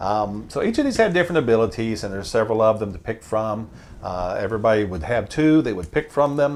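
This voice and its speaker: A man at a medium pitch talks at a very fast pace with lively intonation. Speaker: board game channel host. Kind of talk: tutorial.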